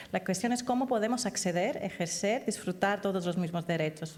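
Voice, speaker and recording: This is a woman at medium pitch with ordinary pitch variation. She talks at a moderate pace. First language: not Spanish (speaking Spanish). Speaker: human rights advocate, conference speaker. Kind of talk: panel discussion, answering audience. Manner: halting, many false starts.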